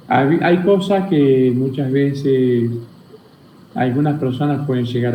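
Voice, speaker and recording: The man's pace is very slow and his pitch medium. His pitch varies in an ordinary way, and room echo can be heard. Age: 60s. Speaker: spiritual teacher. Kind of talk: interview.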